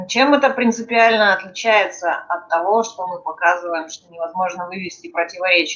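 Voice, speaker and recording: Her loudness swinging widely, a woman talks at a moderate pace with hardly any pauses and ordinary pitch variation. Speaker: discussion group participant. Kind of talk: academic discussion. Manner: formal. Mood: inquisitive, thoughtful. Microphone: video call.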